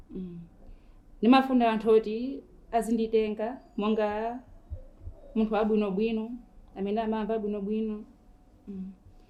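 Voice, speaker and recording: At a moderate pace, the voice has a dark, mellow tone and monotone, flat intonation, with big swings in loudness and long, frequent pauses. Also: woman, fairly high pitch for a woman. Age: 30s. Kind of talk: tv interview.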